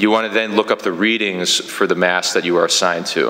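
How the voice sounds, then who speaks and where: Very deep and low, a man's voice moves at a fairly quick pace in a monotone, flat intonation. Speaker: parish trainer. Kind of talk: training instruction. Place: church.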